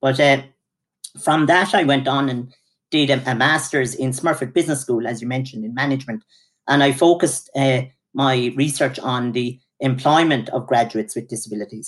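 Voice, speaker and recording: In an Irish accent, a man with a medium pitch speaks at a moderate pace on a very clean recording with a silent background. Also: fairly even intonation. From Ireland. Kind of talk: interview.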